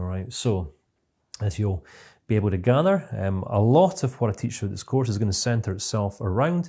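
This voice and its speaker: A man with a Scottish accent talks at a fairly quick pace and a fairly low pitch. His tone is dark and mellow, somewhat breathy, with lively intonation. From Scotland. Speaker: CBT trainer. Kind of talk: online course lecture. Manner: fast.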